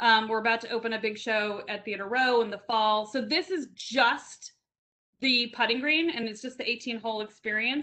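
A woman speaks in a plain, everyday voice at a fairly high pitch and a moderate pace. Her pitch variation is ordinary and the background is quiet. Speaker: event project presenter; presenter. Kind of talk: presentation. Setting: video call. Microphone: video call.

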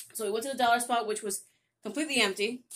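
Ordinary pitch variation from a female speaker. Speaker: haul vlogger. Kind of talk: casual vlog chat. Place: home room. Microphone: phone near.

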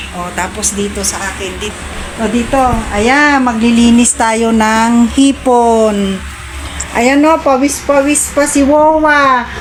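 Speaking very slowly in a high voice, a woman is heard with audible room echo and noticeable background noise. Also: ordinary pitch variation. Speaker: vlogger. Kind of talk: cooking tutorial. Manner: casual.

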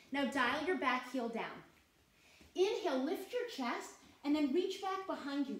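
A woman speaks in a warm, gentle tone with lively intonation, and room echo can be heard. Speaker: yoga instructor. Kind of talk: guided yoga class, calm step-by-step cueing with short teaching asides. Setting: online class with participants on video call. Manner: soothing, slow, steady and encouraging; warm and clear, with a gentle upbeat tone. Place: home room.

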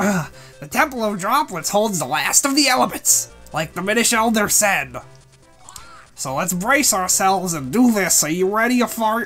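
A female-sounding voice in a put-on character style speaks at a medium pitch and a moderate pace over faint music in the background. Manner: cheeky, teasing.

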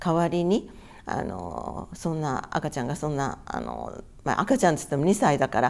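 A woman speaks at a moderate pace in a very deep, low voice with vocal fry and lively intonation. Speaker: atomic bomb survivor. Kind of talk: testimony. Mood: calm, earnest recollection. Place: home room.

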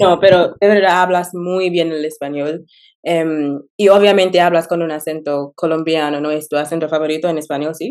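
At a moderate pace, a woman speaks with a fairly low pitch. Her intonation is fairly even, and the background is quiet. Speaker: YouTuber learning Spanish. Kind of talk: interview. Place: home room. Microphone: video call.

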